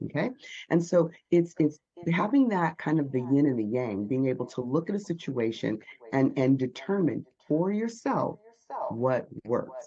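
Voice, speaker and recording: A woman's very deep, low voice at a moderate pace, with very wide pitch swings. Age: 50s. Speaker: Olympic athlete turned speaking coach. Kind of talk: interview.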